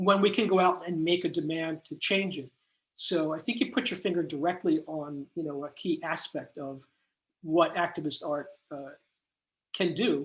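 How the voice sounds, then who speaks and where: Over a quiet background, a man speaks at a high pitch and a moderate pace. His pitch varies in an ordinary way. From New York. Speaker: artist and academic lecturer. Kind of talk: Q&A after lecture. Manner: halting, many fillers.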